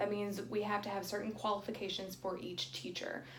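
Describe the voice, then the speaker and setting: The audible room echo carries a woman's voice at a medium pitch. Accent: American. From North Carolina. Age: 20s. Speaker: childcare center administrator. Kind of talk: interview.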